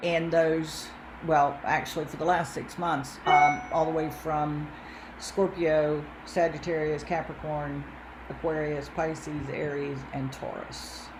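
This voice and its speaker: Someone with a Southern US accent speaks very slowly in a flat monotone, with audible room echo and noticeable background noise. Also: woman, very deep, low pitch for a woman. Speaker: astrologer. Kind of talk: casual chat.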